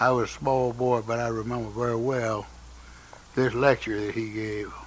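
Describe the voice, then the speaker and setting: With a North Carolina accent, a man talks at a moderate pace in a medium pitch, his intonation monotone and flat. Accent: Southern US, North Carolina. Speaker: interviewee recalling his life. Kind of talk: oral history interview. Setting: home by a fireplace. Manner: halting, many fillers.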